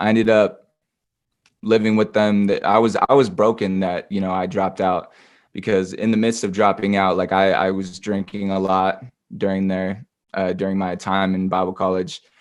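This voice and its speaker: A man with a West Coast accent and monotone, flat intonation, over a quiet background. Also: fairly low pitch for a man, moderate pace. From southern Oregon, US. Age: 20s. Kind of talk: interview testimony. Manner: halting, many fillers and restarts.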